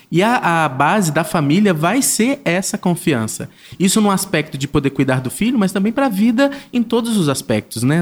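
Keeping his loudness very even, a man talks at a moderate pace with very wide pitch swings. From Brazilian Northeast (Paraíba), raised in southern Brazil. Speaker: digital influencer and father. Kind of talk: casual interview.

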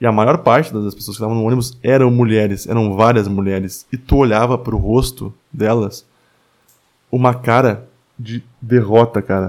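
Fairly even in intonation, a man's medium-pitched voice moves at a moderate pace. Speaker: podcast host. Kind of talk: solo monologue podcast. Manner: filler-heavy with hesitations.

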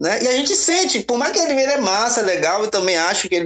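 This man's pitch is extremely high. He talks at a fairly quick pace. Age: 40s. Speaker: podcast guest. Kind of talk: casual discussion.

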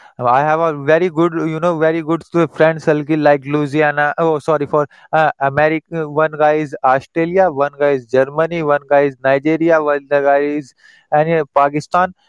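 This man's voice is fairly high and his pace moderate. The sound is dry and close, with no echo. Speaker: English learner. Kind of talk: casual chat. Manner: halting; excitable.

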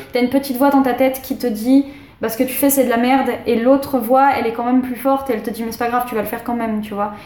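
Amid noticeable background noise, a woman talks very fast in a high pitch with monotone, flat intonation. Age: 20s. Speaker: tattoo artist. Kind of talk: casual chat. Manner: halting.

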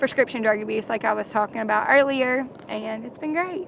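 A woman talks with a Kentucky accent in a high pitch. Her pace is fairly quick. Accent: Kentucky Southern US. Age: 20s. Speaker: reality show contestant. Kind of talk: interview.

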